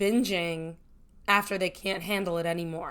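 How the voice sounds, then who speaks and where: On a very clean recording with a silent background, a woman with an ordinary speaking voice talks at a moderate pace with fairly even intonation. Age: 20s. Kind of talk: casual talk to camera.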